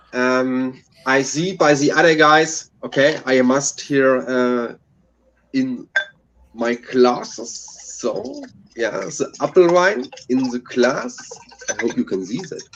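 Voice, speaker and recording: Using a German accent, a man speaks at a very slow pace in a medium pitch, leaving long, frequent pauses. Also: ordinary pitch variation. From Germany, Hessen (Frankfurt area). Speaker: beer reviewer, panelist. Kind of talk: casual live-stream chat. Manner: halting, many ums.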